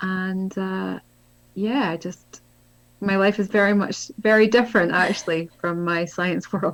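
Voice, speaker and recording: A woman with a Scottish accent speaks at a fairly slow pace. Her medium pitch follows fairly even intonation. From Scotland. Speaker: spiritual author and healer. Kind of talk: interview conversation.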